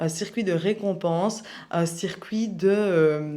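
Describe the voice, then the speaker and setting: A woman speaks at a fairly low pitch with a dark, mellow tone. Her pitch variation is ordinary. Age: 20s. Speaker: personal development youtuber. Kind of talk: personal testimony vlog. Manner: casual, hesitant with fillers.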